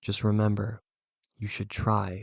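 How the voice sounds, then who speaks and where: With a fairly low pitch, a man talks in a monotone, flat way. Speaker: youtuber. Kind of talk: monologue vlog. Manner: slow; halting.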